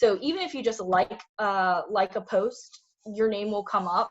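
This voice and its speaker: Her pitch sits at a medium level, and this woman's pitch variation is ordinary. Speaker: career workshop presenter. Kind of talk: online presentation. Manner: fast.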